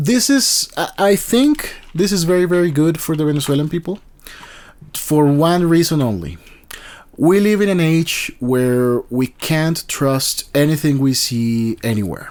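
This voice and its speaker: Speaking at a fairly slow pace with a Spanish accent, a man uses a fairly high pitch and lively intonation. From Colombia. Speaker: YouTuber commentator. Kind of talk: casual commentary monologue. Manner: halting, many fillers and restarts.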